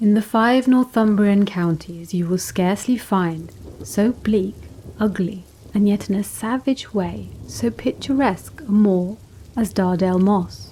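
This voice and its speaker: Speaking at a fairly slow pace, a woman uses an ordinary speaking voice with medium pitch and ordinary pitch variation. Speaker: narrator. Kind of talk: gothic horror story reading.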